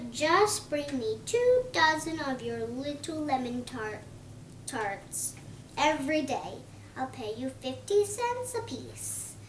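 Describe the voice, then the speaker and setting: Using a put-on character voice, a woman speaks at a fairly slow pace over clear background noise. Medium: read story. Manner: jokey, friendly.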